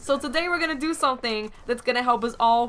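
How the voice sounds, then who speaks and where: Noticeable background noise sits behind a speaker with an American accent, whose tone is animated and intonation lively. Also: woman. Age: 20s. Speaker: gaming YouTuber. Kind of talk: casual vlog talk to camera. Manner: chatty, animated.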